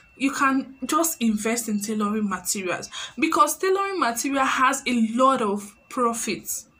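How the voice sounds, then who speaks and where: The speaker has a Nigerian accent and an animated tone. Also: woman, high pitch for a woman, lively intonation, moderate pace. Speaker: YouTuber and tailor. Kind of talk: vlog tutorial talk. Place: home room. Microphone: phone near.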